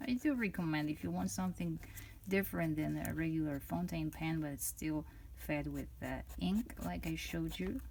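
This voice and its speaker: The speaker, a woman, has a non-native accent. She talks at a moderate pace. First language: not English. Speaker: fountain pen reviewer. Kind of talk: product review. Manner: halting, many fillers and restarts.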